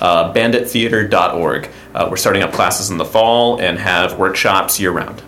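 Fairly even intonation in an American accent, at a moderate pace, with noticeable background noise. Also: man, fairly low pitch for a man. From US South, Stafford County, Virginia. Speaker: improv teacher and comedian. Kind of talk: casual chat.

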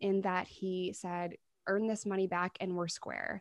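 Over a quiet background, a woman with an American accent talks at a fairly slow pace in an ordinary speaking voice, her pitch medium. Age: 30s. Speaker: YouTuber and recovery advocate. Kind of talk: interview testimony.

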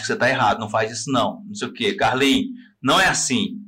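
Over audible room echo, a man at a medium pitch talks at a fairly quick pace. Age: 40s. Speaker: podcast host. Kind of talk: casual chat. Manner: animated.

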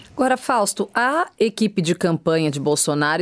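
A woman at a medium pitch talks at a moderate pace in an ordinary speaking voice. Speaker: radio host. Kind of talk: interview.

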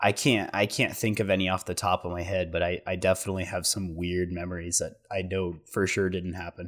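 Speaking at a fairly quick pace with hardly any pauses, a man with an American accent delivers a very deep, low, monotone line in a very clean recording with a silent background. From southern Oregon. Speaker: podcast co-host, college student. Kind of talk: casual chat.

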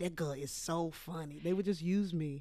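At a fairly low pitch, a woman talks at a moderate pace. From Texas, Port Arthur. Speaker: actor. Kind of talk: casual chat. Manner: animated.

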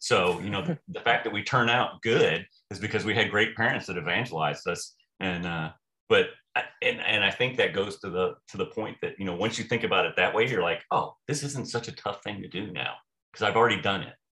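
A man speaks at a fairly quick pace in a medium-pitched voice. His tone is bright and sharp, with ordinary pitch variation. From US military families, various bases. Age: 50s. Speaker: retired navy officer and theology student. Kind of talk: casual interview. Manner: halting, many repeated words.

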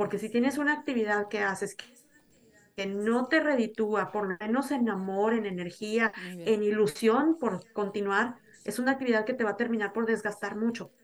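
Her pitch fairly high and varying in an ordinary way, a woman uses an ordinary speaking voice at a moderate pace. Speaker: podcast guest, Mexican living abroad. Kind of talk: casual chat.

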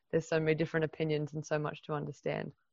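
A woman talks with vocal fry at a very deep, low pitch. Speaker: workshop facilitator. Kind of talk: workshop facilitation. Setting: video call.

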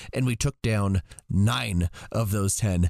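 A man speaks with a growling voice. The background is quiet. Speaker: co-host. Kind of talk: casual chat.

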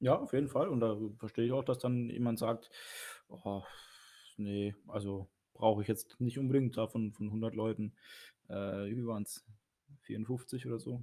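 A man with a medium pitch and a dark, mellow tone at a moderate pace, fairly even intonation and long, frequent pauses, in a very clean recording with a silent background. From Baden, southwestern Germany. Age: 30s. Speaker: church youth leader and priest. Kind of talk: casual chat.

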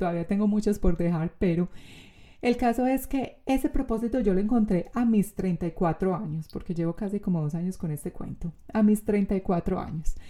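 In a very clean recording with a silent background, a woman with a Colombian accent speaks at a moderate pace in a dark, mellow tone, medium in pitch with ordinary pitch variation. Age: 30s. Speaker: podcast host and coach. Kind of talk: casual interview.

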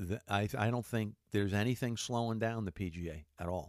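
On a very clean recording with a silent background and a dry, close sound with no echo, a man with a plain, everyday voice speaks at a moderate pace, his fairly low pitch showing ordinary pitch variation. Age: 50s. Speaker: sports radio podcast host. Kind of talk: casual sports talk monologue. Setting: studio. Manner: casual with frequent filler words.

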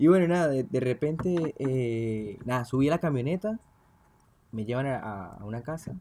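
In a dark, mellow tone, a man speaks at a medium pitch with ordinary pitch variation. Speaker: podcast host. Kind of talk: casual chat. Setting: at a home.

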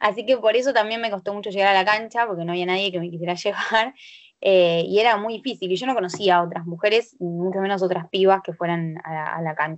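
With a normal speaking voice, a woman talks at a fairly quick pace and a medium pitch, her intonation fairly even. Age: 20s. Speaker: sports club board member. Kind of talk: casual chat. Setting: video call.

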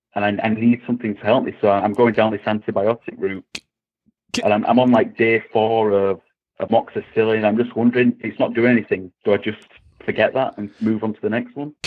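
Fairly quick and monotone, a man with an English accent speaks at a medium pitch with flat intonation. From England. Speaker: caller. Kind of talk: call-in question.

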